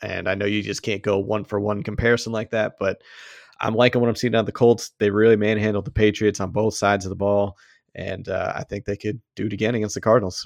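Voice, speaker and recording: A man talks at a very fast pace in a fairly low pitch with monotone, flat intonation. The sound is dry and close with no echo, and the background is quiet. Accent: Boston. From Boston, US. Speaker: fantasy football podcast host. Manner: jokey, laughs often.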